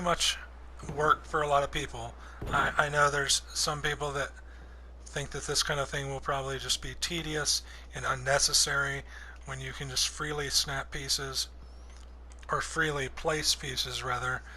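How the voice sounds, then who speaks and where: A man's voice with long, frequent pauses and noticeable background noise. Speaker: gaming video creator. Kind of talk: tutorial. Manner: slow; casual.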